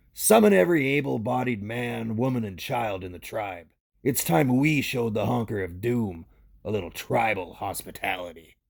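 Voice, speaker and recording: A man's put-on character voice, raspy and medium-pitched, moving at a moderate pace. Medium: audio drama. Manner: gruff, blunt, slangy.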